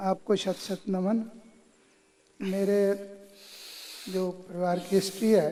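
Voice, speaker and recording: A man talks with a high pitch and a dark, mellow tone. His intonation is monotone and flat, broken by long, frequent pauses. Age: 70s. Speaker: yoga camp participant. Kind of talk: testimony. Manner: halting.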